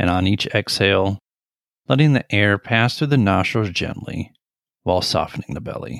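Heard on a very clean recording with a silent background and a dry, close sound with no echo, a man with an unremarkable speaking voice and a fairly low pitch talks at a moderate pace with lively intonation. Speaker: meditation guide. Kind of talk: guided meditation. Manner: gentle, even, measured delivery.

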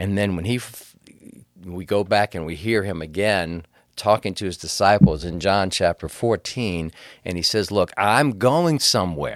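A man's fairly low voice at a moderate pace, with ordinary pitch variation, big swings in loudness, and a plain, everyday voice. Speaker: preacher. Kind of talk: casual church podcast discussion. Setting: studio.

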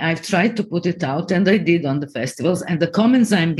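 A woman with a Croatian accent speaks with lively intonation. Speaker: TV and film producer. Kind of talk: interview.

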